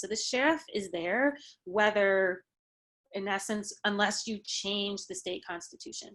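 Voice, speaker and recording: At a moderate pace, a woman talks in a medium pitch with a bright, sharp tone over a quiet background. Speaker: guest speaker, journalist and lawyer. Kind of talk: workshop lecture with Q&A. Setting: video call.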